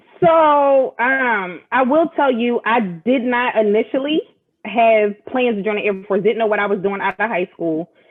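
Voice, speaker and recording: With an American accent, a woman speaks fairly slowly at a fairly high pitch and with lively intonation. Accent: Philadelphia accent, comes out when angry. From Philadelphia, Pennsylvania. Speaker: military senior enlisted leader. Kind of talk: casual interview chat. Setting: live video stream.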